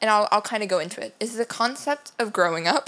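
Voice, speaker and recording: A woman with a fairly high pitch speaks with lively intonation at a fairly quick pace, noticeable background noise behind her. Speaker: podcast co-host. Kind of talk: casual chat.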